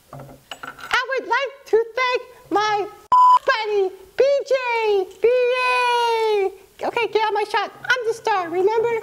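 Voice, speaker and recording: This cartoonish character voice is extremely high-pitched and squeaky. It moves at a fairly slow pace. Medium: puppet show. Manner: snarky, brash.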